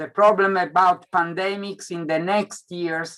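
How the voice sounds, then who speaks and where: With an Italian accent, a man speaks at a high pitch. His pace is very slow. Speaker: scientist presenter. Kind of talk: Q&A answers. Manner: halting, repetitive.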